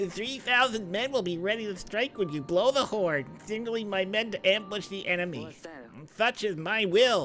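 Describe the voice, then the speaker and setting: A put-on character voice at a fairly high pitch moves at a moderate pace. Background noise is clear. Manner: nerdy.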